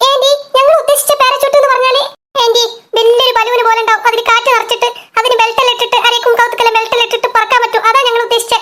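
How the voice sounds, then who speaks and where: A woman uses a cartoonish character voice, pitched extremely high and delivered very fast. Her loudness stays very even and her intonation is monotone and flat. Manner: exasperated, scolding.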